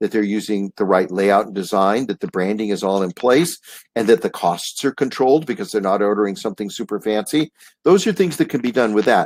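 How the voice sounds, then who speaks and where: A man with a fairly low pitch talks at a fairly quick pace. His pitch varies in an ordinary way, and the sound is dry and close with no echo. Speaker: print industry consultant. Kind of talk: webinar presentation. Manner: fast; animated.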